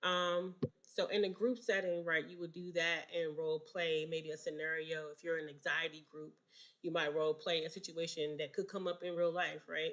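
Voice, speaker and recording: Moderately paced speech in a plain, everyday voice with fairly even intonation. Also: woman, fairly low pitch for a woman. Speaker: counseling exam tutor. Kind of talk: live online study session.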